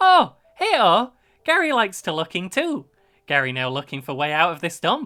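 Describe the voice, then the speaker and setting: Shouting in a put-on character voice at a middle pitch and moderate pace, in a very clean recording with a silent background. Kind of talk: broken, third-person speech.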